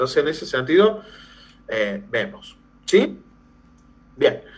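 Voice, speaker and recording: A man with a somewhat breathy voice lets his pitch swing very widely. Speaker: teacher trainer, language lecturer. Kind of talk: lecture. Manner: animated, conversational.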